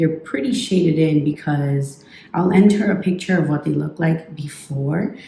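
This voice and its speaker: Noticeable background noise accompanies this woman's voice. Her pitch is fairly low, with ordinary pitch variation. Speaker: beauty vlogger. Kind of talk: casual vlog.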